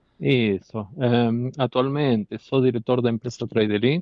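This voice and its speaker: A man with a non-native accent and a medium-pitched voice. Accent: foreign accent in Portuguese. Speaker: company director testifying as defendant. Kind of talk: court testimony. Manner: halting.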